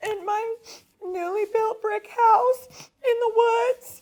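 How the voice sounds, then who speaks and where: A female-sounding put-on character voice is pitched extremely high. Its pace is very slow. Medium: stage play. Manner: brief, straightforward answers.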